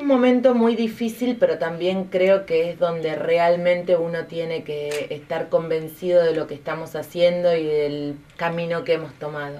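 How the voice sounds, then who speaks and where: Delivered at a fairly slow pace, the speech has hardly any pauses and ordinary pitch variation. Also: woman, fairly low pitch for a woman. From Argentina. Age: 40s. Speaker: politician. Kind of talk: interview. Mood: earnest, persuasive. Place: studio.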